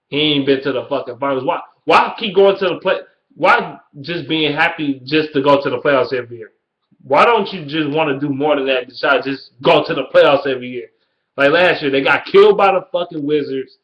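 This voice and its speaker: Animated in tone, a man with a Detroit accent talks at a fairly quick pace and fairly high pitch with ordinary pitch variation. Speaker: sports vlogger. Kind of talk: casual rant.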